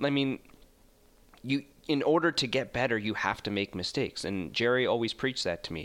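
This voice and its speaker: A man with a Canadian accent and an unremarkable speaking voice, medium in pitch, with ordinary pitch variation and a fairly quick pace. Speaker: sports broadcaster. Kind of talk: casual interview.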